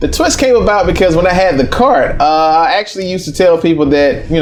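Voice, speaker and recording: Someone with an American accent talks very fast amid audible room echo and noticeable background noise. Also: man. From US South, East Atlanta, Georgia. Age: 30s. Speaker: restaurant owner and entrepreneur. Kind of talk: interview. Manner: casual, with filler words.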